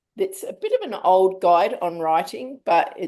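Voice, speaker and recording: A woman talks with a strong Australian accent. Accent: broad Australian. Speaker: writing group host. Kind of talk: casual book club discussion. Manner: casual, relaxed.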